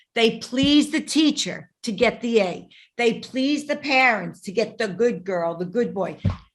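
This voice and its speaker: The speaker has a Brooklyn accent and lively intonation. The pace is fairly slow. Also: woman, fairly high pitch for a woman. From New York, Brooklyn. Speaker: podcast host, relationship coach. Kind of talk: interview conversation. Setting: podcast.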